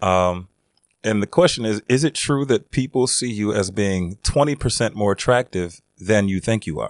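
Against a quiet background, a man speaks at a moderate pace with a fairly low pitch and ordinary pitch variation. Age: 40s. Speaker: podcast co-host. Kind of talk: casual chat. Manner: halting, many fillers.

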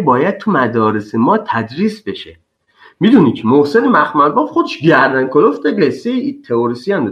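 Very wide pitch swings from a man speaking at a moderate pace. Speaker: refugee. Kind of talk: casual chat.

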